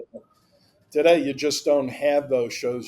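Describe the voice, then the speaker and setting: Medium-pitched male voice. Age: 70s. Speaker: former hobby industry employee, art collector. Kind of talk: casual interview.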